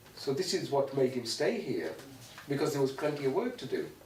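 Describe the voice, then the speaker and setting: Fairly high-pitched male voice with lively intonation against noticeable background noise. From Pakistan, Punjab. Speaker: youth and community worker. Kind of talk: interview answer.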